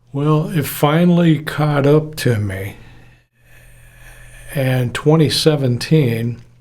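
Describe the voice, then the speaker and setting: A man talks very slowly in a fairly high, somewhat breathy voice. His pitch varies in an ordinary way. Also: long, frequent pauses. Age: 70s. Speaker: retired audio engineer. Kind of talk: casual personal talk to camera.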